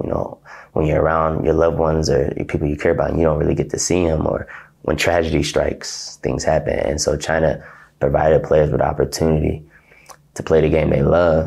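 A man's very deep, low voice with an American accent, fairly even intonation and a fairly quick pace, over a quiet background. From Ohio, US. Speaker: professional basketball player. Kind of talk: interview. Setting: hotel apartment. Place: office. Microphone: lapel.

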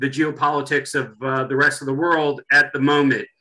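A man's moderate-paced speech comes through over a quiet background. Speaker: webinar host. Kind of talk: event introduction. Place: home room. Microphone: video call.

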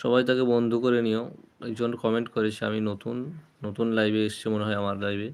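A man speaks at medium pitch in a monotone, flat delivery. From Murshidabad, West Bengal, India. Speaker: livestreamer giving Islamic talk. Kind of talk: live stream religious talk. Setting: live stream.

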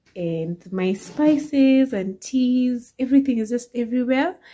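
Against a quiet background, a woman with a dark, mellow tone talks at a fairly slow pace. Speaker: home vlogger. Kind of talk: casual vlog chat. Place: kitchen. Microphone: phone near.

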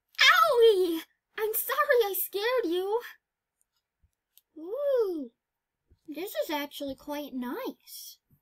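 A put-on character voice crawls along at a very slow pace, with very wide pitch swings and long, frequent pauses. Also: female-sounding voice, extremely high pitch for a woman. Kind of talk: comic dub voice acting. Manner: excitable, eager.

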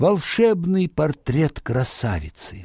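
Speaking at a slow pace, a man uses a dark, mellow tone and big pitch swings in a very clean recording with a silent background.

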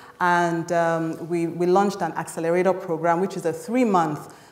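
Moderate pace, with audible room echo. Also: woman. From Nigeria. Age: young. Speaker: tech company country director. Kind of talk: panel discussion. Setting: stage with audience. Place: hall.

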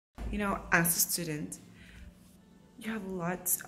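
Faint music plays behind a woman speaking at a fairly slow pace. Her pitch is fairly low and her intonation fairly even. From Philippines. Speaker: international college student. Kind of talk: casual talk to camera.

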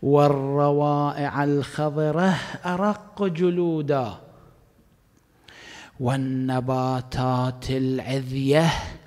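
Very slow speech from a man over a quiet background. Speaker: cleric preacher. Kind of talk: sermon. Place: hall. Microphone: studio mic.

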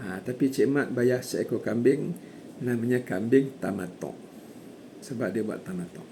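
At a fairly slow pace, this dark, mellow voice moves with ordinary pitch variation. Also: man, medium pitch for a man. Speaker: hajj course teacher. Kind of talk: lecture. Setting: online course. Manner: formal.

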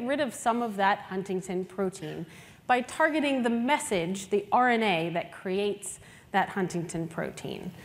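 A woman speaks at a moderate pace with lively intonation and few pauses.

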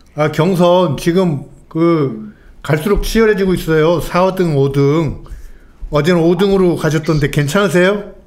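Speaking very slowly with very even loudness, a man uses a high pitch and ordinary pitch variation. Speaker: political commentator. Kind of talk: live political talk show. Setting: studio. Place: studio. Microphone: studio mic.

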